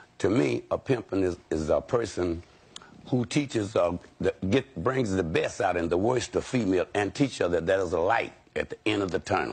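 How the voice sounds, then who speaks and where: A man's fairly low voice with lively intonation over music in the background. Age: 60s. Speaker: former pimp. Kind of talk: talk show interview.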